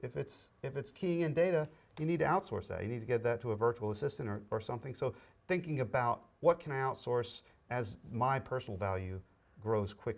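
On a very clean recording with a silent background, a man talks with an unremarkable speaking voice at a medium pitch. His pace is fairly quick and his intonation lively. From US South (Florida, Alabama). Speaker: business broker and podcast co-host. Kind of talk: casual interview.

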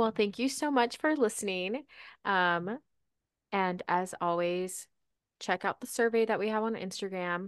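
In an American accent and an ordinary speaking voice, a woman at a medium pitch talks at a moderate pace with ordinary pitch variation over a quiet background. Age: 20s. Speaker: podcast co-host. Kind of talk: casual chat.

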